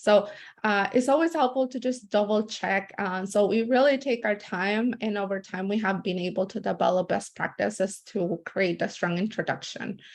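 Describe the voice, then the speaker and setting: With a Spanish accent, a woman keeps a moderate pace with hardly any pauses, her medium pitch varying in an ordinary way. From born in El Salvador, raised in US from about age 12. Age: young. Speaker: community organizer. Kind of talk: webinar presentation. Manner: many fillers, some halting.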